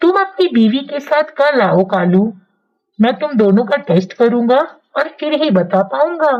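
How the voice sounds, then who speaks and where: A female-sounding voice does a cartoonish character voice. It sits at a fairly high pitch and moves at a moderate pace. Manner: calm, reassuring.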